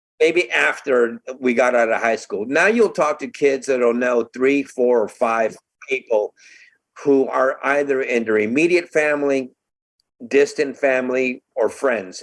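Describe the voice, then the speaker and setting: A man's fairly high voice in a Californian accent, fairly slow, with ordinary pitch variation. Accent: General American (Californian). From Southern California (Burbank). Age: 60s. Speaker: advocacy organization member, bereaved parent. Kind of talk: podcast interview.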